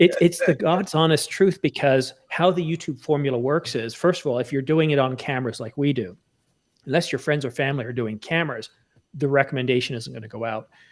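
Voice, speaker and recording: A man with an unremarkable speaking voice talks at a fairly quick pace and fairly high pitch with ordinary pitch variation, in a very clean recording with a silent background. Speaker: photographer and YouTuber. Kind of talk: casual chat.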